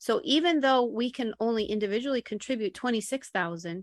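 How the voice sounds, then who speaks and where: An ordinary speaking voice from a woman with an American accent, fairly high in pitch, at a moderate pace with ordinary pitch variation, in a dry, close, echo-free and very clean recording over a silent background. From Buffalo, New York. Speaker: real estate broker. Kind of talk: interview.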